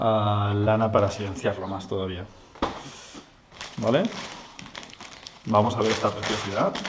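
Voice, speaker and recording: Against noticeable background noise, a fairly low-pitched man speaks at a fairly quick pace in a monotone, flat intonation with long, frequent pauses. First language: Spanish. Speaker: motorcycle mechanic youtuber. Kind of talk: tutorial. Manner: halting.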